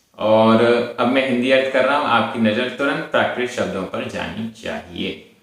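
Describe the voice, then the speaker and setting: Audible room echo fills the recording. A man speaks at a medium pitch. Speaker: Prakrit language teacher. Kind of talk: lecture.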